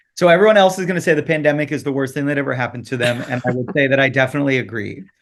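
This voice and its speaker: With an American accent, a man talks at a very fast pace in an animated tone, his fairly high pitch moving with ordinary variation. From Michigan, Detroit area. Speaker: Broadway actor and tour guide business owner. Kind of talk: casual interview.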